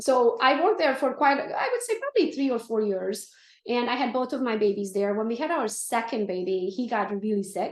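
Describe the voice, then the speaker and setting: The woman's voice is high-pitched, with ordinary pitch variation. She talks at a fairly quick pace. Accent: Romanian. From Romania. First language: Romanian. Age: 40s. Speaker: real estate team leader. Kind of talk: interview. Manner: animated.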